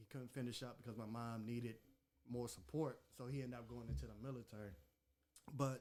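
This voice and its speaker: A man with a plain, everyday voice talks at a moderate pace, his medium pitch held in fairly even intonation. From Maryland, Anne Arundel County. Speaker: podcast host. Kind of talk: casual chat.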